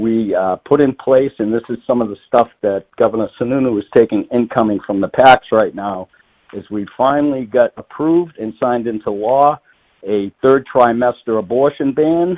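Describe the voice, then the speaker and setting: A man with a Boston accent at medium pitch, with ordinary pitch variation and a moderate pace. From Massachusetts, north of Boston. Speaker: state politician, retired firefighter. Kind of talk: radio interview.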